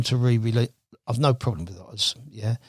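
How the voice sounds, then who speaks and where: A man talks at a fairly quick pace in a somewhat breathy voice, with a dry, close sound, no echo, and a very clean recording over a silent background. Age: 70s. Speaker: carp angler. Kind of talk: podcast interview. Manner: halting.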